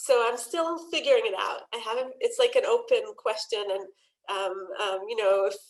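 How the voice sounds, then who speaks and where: A woman is speaking in an Israeli accent. Her pace is moderate. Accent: Hebrew intonation when she reads aloud. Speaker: poet and translator. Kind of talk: panel conversation. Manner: hesitant, many fillers.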